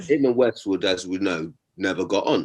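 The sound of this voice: Low in pitch with a slightly husky edge, a man speaks with lively intonation. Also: moderate pace.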